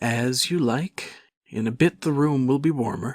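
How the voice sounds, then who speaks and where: Delivered at a moderate pace, a put-on character voice with ordinary pitch variation comes through dry and close, with no echo. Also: man, medium pitch for a man. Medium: read story. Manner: brisk, bustling.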